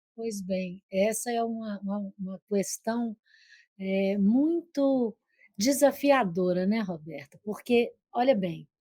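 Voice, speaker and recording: Breathing somewhat audibly, a woman with a Minas Gerais accent speaks very slowly in a dark, mellow tone, the sound dry and close with no echo. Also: medium pitch for a woman, ordinary pitch variation. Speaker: psychoanalyst. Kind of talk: TV interview. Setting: online video call. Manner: gentle.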